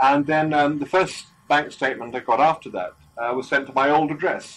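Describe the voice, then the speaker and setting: The man's delivery moves at a moderate speed. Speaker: interviewee. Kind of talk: interview answer. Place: shop. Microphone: old recording.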